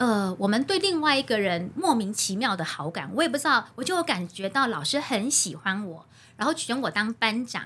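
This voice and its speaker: A woman speaks in a bright, sharp tone. Her pitch swings very widely. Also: fairly high pitch for a woman, moderate pace. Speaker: primary school teacher and recitation coach. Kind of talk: casual interview chat. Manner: steady, even delivery.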